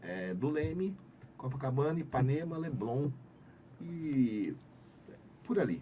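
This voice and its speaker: In a room with audible echo, a man with a fairly high pitch uses lively intonation and takes long, frequent pauses. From Brazil, Campinas (São Paulo interior). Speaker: sustainability manager, podcast guest. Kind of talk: casual interview chat. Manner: hesitant, frequent repetitions.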